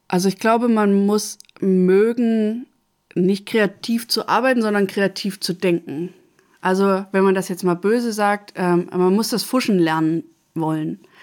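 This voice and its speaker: A woman's plain, everyday voice, medium in pitch, at a fairly slow pace with fairly even intonation, on a very clean recording with a silent background. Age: 30s. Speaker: social worker and master carpenter. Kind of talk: interview. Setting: studio.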